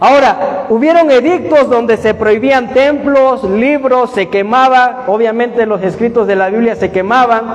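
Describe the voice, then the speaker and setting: An animated, shrill voice comes at a fairly slow pace with hardly any pauses and ordinary pitch variation. Audible room echo surrounds it. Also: man, extremely high pitch for a man. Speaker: bible study teacher. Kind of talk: bible study lecture with audience questions. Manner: animated, questioning.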